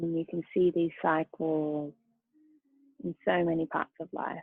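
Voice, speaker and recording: Soft-spoken and fairly low in pitch, a woman talks at a fairly slow pace with monotone, flat intonation and long, frequent pauses. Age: 20s. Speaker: yoga teacher. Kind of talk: guided yoga class.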